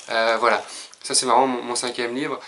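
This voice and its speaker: A man speaks at a medium pitch and a fairly quick pace, with noticeable background noise. His intonation is monotone and flat. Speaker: personal development youtuber. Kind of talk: casual video monologue. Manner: hesitant, many filler sounds.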